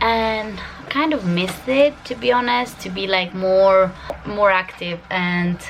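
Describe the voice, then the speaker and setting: Over noticeable background noise, a woman with an Albanian accent talks at a medium pitch with ordinary pitch variation. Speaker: vlogger. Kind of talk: casual vlog talk to camera. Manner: hesitant, many fillers.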